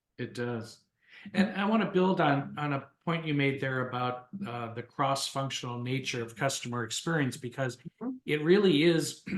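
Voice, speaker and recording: This man has a plain, everyday voice, fairly high in pitch. He talks at a moderate pace with ordinary pitch variation. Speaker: podcast host. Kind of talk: podcast host talk.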